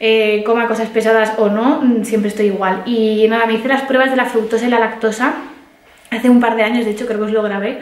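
A woman speaks at a fairly high pitch and a fairly quick pace. Her pitch moves little, and room echo is audible.

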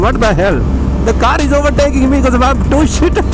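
A man speaks at a fairly quick pace. The sound is dry with no echo, and clear music plays in the background. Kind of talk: casual ride commentary. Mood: excited, joking. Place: motorbike. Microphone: helmet.

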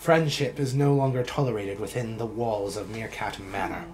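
A man performs a put-on character voice at a medium pitch. He talks at a moderate pace over clear background noise. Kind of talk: mock-archaic knightly speech. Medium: actual play. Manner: pompous, challenging.

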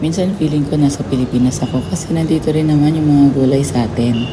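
A woman with a very deep, low pitch is heard with audible room echo and noticeable background noise. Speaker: vlogger. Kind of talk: vlog narration. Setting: outdoor market.

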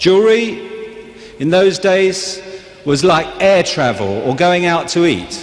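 Lively intonation from a man at a fairly slow pace. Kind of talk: convention speech. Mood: joking then serious. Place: hall. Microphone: podium.

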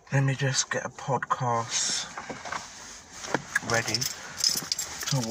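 A woman's voice, dry with no echo, comes through over loud background noise. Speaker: vlogger. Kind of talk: casual vlog chat. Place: car. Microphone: phone near.

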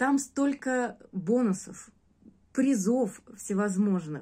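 Fairly high pitch from a woman, ordinary pitch variation throughout. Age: 40s. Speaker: course student giving a testimonial. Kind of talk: testimonial; casual testimonial talk. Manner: hesitant, with filler sounds. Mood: warm, grateful. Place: home room. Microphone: phone near.

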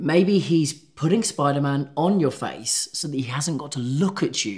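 Somewhat breathy, a man speaks at a moderate pace with very wide pitch swings against a quiet background. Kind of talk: scripted comedic dialogue. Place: office.

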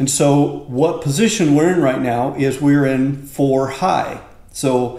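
A man speaks at a very slow pace with fairly even intonation, and the room echo is audible. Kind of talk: tutorial. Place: garage. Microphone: camera far.

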